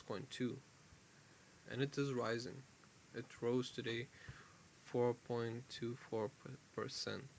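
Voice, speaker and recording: With a non-native accent, a man talks at a fairly slow pace in a flat monotone, leaving long, frequent pauses. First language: not English. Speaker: crypto YouTuber. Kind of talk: casual market commentary video. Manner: halting, self-correcting.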